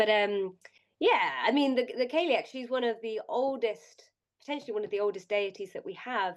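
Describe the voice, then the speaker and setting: With a British accent, a woman speaks at a moderate pace in a fairly high pitch and lively intonation. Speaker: podcast co-host. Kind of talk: casual chat.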